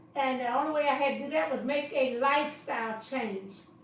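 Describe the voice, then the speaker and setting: A woman speaks at a high pitch. The recording carries audible room echo and noticeable background noise. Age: 70s. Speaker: dietitian and chef teaching cooking classes. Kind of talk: live-stream introduction talk. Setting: live online stream. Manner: casual, hesitant with fillers.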